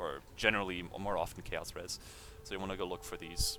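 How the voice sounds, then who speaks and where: A man is speaking. His delivery comes at a fairly quick pace. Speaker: video game youtuber. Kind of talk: gameplay build tutorial. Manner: fast; hesitant with many fillers.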